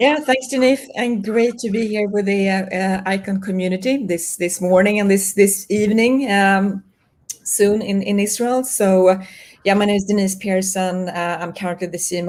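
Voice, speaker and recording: A woman speaks in a Swedish accent. Her pitch variation is ordinary. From Sweden. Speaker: marketing executive. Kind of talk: interview.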